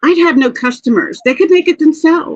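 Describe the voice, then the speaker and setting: A woman speaks at a high pitch. The sound is dry and close, with no echo. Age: 60s. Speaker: crafter. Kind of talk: casual chat.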